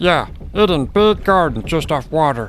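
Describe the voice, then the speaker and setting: Amid clear background noise, a man does a put-on character voice at a high pitch and a moderate pace. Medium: audio drama. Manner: broken grammar, talks of self in third person.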